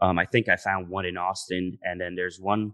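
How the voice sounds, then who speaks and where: A man with an American accent speaks in a very deep, low voice, his bright, sharp tone delivered in a flat monotone, recorded dry and close with no echo in a very clean recording against a silent background. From Dominican Republic (Santiago) and New York. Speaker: food pop-up founder. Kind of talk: casual interview.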